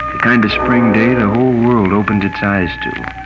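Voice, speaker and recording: Music plays in the background as a man talks. His voice is medium in pitch and his pace fairly slow. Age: 20s. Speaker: radio commentator; war veteran. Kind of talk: radio commentary. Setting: old acetate disc recording.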